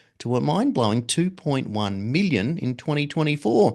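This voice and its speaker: A man talks fairly quickly, his pitch swinging very widely, against a quiet background. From Britain. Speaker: radio show host. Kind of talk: news reading.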